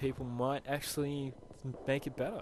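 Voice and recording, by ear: At a moderate pace, a man talks at medium pitch.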